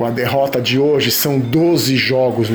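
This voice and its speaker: A man speaks fairly slowly with fairly even intonation. Room echo and background noise are both noticeable. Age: 40s. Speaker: football commentator. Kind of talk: opinion monologue.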